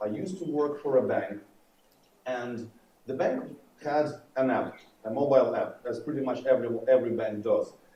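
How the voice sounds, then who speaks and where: A man with a fairly high voice and ordinary pitch variation speaks at a moderate pace, with audible room echo and noticeable background noise in the recording. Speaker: conference speaker, developer advocate. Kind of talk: conference talk. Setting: stage with audience. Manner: loud.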